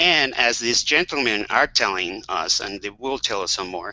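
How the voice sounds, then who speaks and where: Speaking with a Spanish accent, a man keeps a medium pitch, ordinary pitch variation, and a moderate pace. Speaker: webcast moderator, HIV health advocate. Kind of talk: panel webcast discussion. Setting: video call.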